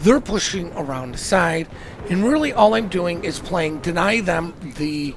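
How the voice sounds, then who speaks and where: Moderate pace over music in the background. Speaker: gaming commentator. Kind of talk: gameplay commentary.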